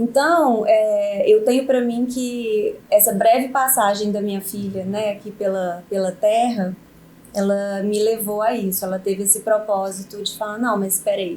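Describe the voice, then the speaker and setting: A woman's fairly high voice in a Minas Gerais accent, at a fairly slow pace with fairly even intonation. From Minas Gerais, Brazil. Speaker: lawyer. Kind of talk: podcast interview.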